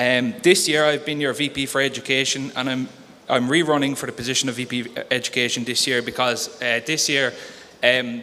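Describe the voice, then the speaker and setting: This man speaks with a Cork accent. His pitch is medium and his intonation fairly even. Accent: Cork Irish. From Ireland, Cork City (north side). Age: 20s. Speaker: student union candidate. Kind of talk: election hustings speech. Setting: campus hall, live stream. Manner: hesitant, many fillers.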